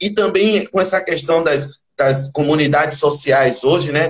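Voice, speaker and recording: A man speaks at a moderate pace with a somewhat breathy voice. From Salvador, Bahia, Brazil. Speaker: percussionist in a band. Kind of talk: interview. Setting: livestream.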